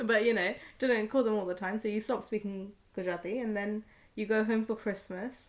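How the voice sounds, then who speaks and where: A woman with a British accent speaks at a fairly high pitch and a fairly quick pace. Her intonation is monotone and flat, and the recording is very clean with a silent background. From born in India, raised in UK. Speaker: podcast co-host. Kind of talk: casual chat.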